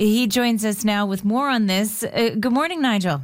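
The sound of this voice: A woman talks at a moderate pace, her medium pitch showing ordinary pitch variation.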